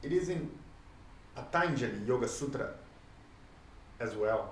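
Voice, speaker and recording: Someone with a Portuguese accent speaks at a very slow pace, with audible room echo and noticeable background noise. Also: man. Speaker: sports coach and lecturer. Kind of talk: lecture. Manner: halting.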